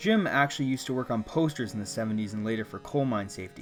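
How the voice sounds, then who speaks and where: Very fast male speech at medium pitch with ordinary pitch variation, music in the background. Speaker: indie game developer. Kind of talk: scripted narration.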